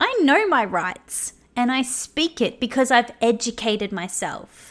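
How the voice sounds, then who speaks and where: High-pitched female voice with an Australian accent, animated tone and lively intonation at a fairly slow pace, very clean recording with a silent background. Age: 30s. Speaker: podcast host. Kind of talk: monologue rant.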